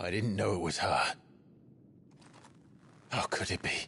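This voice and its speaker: A man does a raspy put-on character voice at a fairly low pitch and moderate pace. Loudness stays very even, with clear background noise behind him. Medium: video game. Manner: terse, grave.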